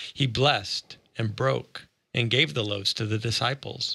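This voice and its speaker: Bright and sharp in tone, a man speaks at medium pitch and a moderate pace with vocal fry and ordinary pitch variation, the sound dry and close with no echo. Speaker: Bible study co-host. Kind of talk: casual Bible study discussion.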